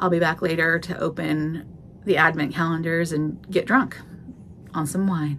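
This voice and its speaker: A woman with a fairly low pitch and a General American accent, at a moderate pace over light background noise. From Oregon, US. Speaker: vlogger. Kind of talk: angry rant, casual vlog. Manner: animated, exasperated, repetitive emphatic. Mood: ranty, joking. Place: office. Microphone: phone near.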